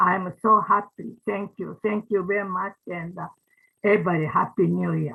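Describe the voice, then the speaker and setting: A woman speaks with a Japanese accent. Her pace is fairly slow. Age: 90s. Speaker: ikebana teacher, organization founder. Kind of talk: closing remarks at online event. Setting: video call. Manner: halting.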